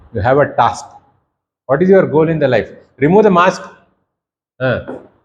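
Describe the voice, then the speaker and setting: With an Indian accent, a man speaks at a moderate pace in a fairly high pitch, with lively intonation and vocal fry. Audible echo fills the room. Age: 60s. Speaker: professor. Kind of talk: lecture. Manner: animated.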